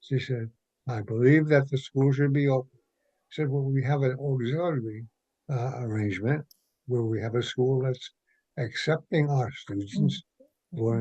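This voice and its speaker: Somewhat breathy, a man speaks at medium pitch and a moderate pace, his tone dark and mellow with ordinary pitch variation. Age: 80s+. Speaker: retired school principal and arts educator. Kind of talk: interview answer. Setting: phone line.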